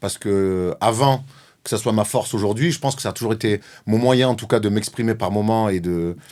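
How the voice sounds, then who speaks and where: In a very clean recording with a silent background, a man with a Marseille accent talks at a fairly quick pace with ordinary pitch variation. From Marseille, southern France. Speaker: former basketball player turned sports journalist. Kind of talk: interview. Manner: outspoken, direct.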